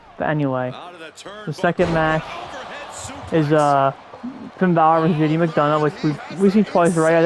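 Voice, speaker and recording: Noticeable background noise sits behind a man talking at a fairly quick pace and a fairly high pitch. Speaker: wrestling recap podcaster. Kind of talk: casual recap chat. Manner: fast; halting, many repetitions.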